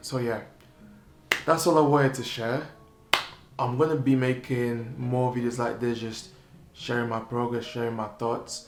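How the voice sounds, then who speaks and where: A man with a medium pitch talks at a moderate pace, with long, frequent pauses. Noticeable background noise and audible room echo surround his voice. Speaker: entrepreneur vlogger. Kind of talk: unscripted vlog monologue.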